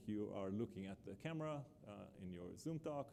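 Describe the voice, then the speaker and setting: A man speaks with an Israeli accent in a dark, mellow tone. His pitch swings very widely. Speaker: professor. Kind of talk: keynote lecture. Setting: conference stage with live captioning. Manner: many filler uhs, hesitant.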